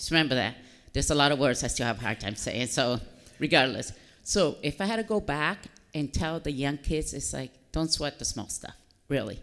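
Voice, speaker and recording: A woman's very deep, low voice with lively intonation at a fairly quick pace. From Dominican Republic, then Massachusetts from age nine. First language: Spanish. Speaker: army helicopter pilot, military officer. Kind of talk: interview at a public fireside chat.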